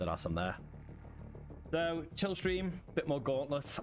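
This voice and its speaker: A man speaks with a British accent while music plays in the background. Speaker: gaming streamer. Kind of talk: casual live-stream chat.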